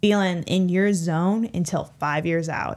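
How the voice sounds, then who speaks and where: On a very clean recording with a silent background, a woman with an American accent and a medium pitch speaks fairly slowly with ordinary pitch variation. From Illinois side of the St. Louis area. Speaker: veterinary student. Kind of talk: casual chat.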